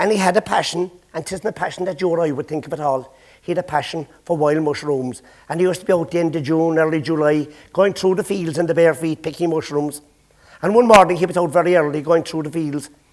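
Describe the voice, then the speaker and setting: A man speaks at a very fast pace in a Cork accent. His pitch is fairly high and his intonation fairly even. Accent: Irish, Cork. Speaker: storyteller. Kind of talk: traditional storytelling to a live audience. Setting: stage with audience.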